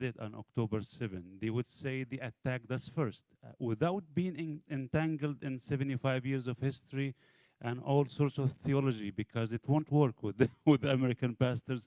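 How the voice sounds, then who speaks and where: With an Arabic accent, a man talks at a moderate pace with hardly any pauses, in a medium pitch with ordinary variation, the sound dry and close with no echo. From Egypt. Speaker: pastor. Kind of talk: audience question. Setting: church event with audience.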